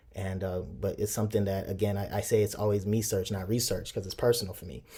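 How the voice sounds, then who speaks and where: A man's fairly low, dark and mellow voice, somewhat breathy, with fairly even intonation, on a very clean recording with a silent background. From Chicago, born in Nigeria. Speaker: professor. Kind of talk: interview.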